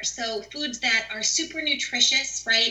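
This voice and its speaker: Loud and high-pitched, a woman with an American accent speaks in an animated tone with lively intonation over noticeable background noise. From New York. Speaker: physician assistant and nutrition educator. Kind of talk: casual interview.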